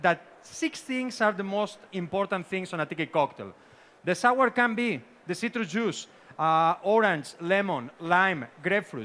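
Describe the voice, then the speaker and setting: In a raised, projected voice with a Spanish accent, a man speaks at a fairly slow pace, his pitch high, his tone bright and sharp, and his intonation lively. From Spain. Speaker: bartender and tiki cocktail expert. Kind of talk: seminar presentation.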